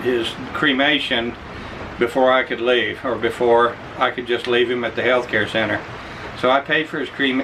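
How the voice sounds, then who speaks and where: A man at medium pitch and moderate pace, with an American accent, over noticeable background noise. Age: 60s. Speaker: expat vlogger. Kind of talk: casual chat. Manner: halting.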